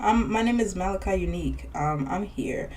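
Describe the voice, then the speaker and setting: A woman speaks with audible room echo around her. Noticeable background noise is present too. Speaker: podcast co-host. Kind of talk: casual chat.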